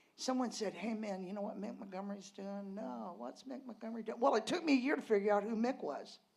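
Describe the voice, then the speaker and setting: Audible room echo surrounds a woman speaking at medium pitch. Her intonation is lively. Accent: American. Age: 60s. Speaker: storyteller at a tavern reunion. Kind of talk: personal storytelling on stage. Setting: stage with audience. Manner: animated.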